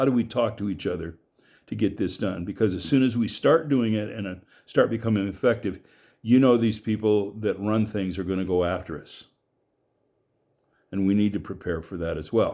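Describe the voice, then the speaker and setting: A man with an American accent, fairly low pitch and a dark, mellow tone, ordinary pitch variation at a moderate pace, long and frequent pauses, in a very clean recording with a silent background. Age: 70s. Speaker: political commentator. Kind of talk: monologue. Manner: halting.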